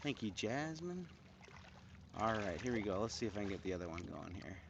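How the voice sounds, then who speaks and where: With an American accent, a man speaks at a moderate pace in a fairly low pitch, his intonation lively and the room echo audible. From US Midwest, Cleveland, Ohio. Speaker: handpan musician, livestreamer. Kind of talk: casual livestream chat. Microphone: new microphones, being tested; a bit quiet.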